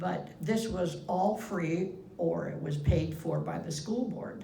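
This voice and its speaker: A woman with an American accent speaks very slowly at a medium pitch with ordinary pitch variation, amid noticeable background noise and audible room echo. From US Midwest, Iowa. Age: 80s+. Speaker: interviewee recalling her life. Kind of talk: oral history interview.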